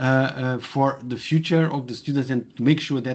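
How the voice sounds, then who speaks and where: With a Portuguese accent, a man speaks in a monotone, flat intonation. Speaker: professor. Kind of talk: webinar presentation. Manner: halting, many fillers.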